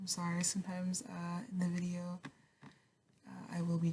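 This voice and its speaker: The voice is somewhat breathy and relaxed in tone, moving at a moderate pace. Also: woman. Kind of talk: casual talk to camera. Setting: home recording while painting. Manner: soft-spoken, chatty, relaxed.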